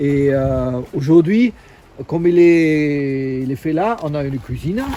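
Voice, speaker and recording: Noticeable background noise runs under the speech. The delivery is very slow. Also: man. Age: 50s. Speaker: long-term van traveler. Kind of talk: casual walkthrough of his van. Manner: halting, many hesitations.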